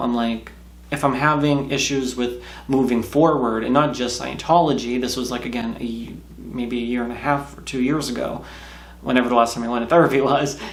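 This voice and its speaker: Fairly quick delivery from a man in monotone, flat intonation, with noticeable background noise and audible room echo. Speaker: YouTuber, ex-Scientologist. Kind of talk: casual vlog monologue. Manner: fast.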